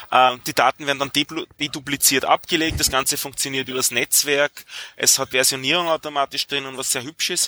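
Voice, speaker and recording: A man's fairly high voice at a fairly quick pace, with monotone, flat intonation. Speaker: software developer. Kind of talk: casual chat.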